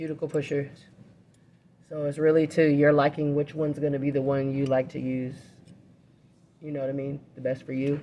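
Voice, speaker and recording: Soft-spoken and dark, mellow in tone, the voice moves at a fairly quick pace with monotone, flat intonation. Long, frequent pauses break it up. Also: woman, very deep, low pitch for a woman. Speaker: nail technician. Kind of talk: live demonstration. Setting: live demo at a nail school.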